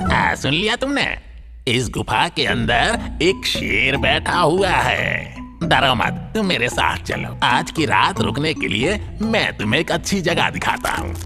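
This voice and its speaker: A cartoonish character voice at a fairly slow pace, with clear music in the background. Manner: sly, confident.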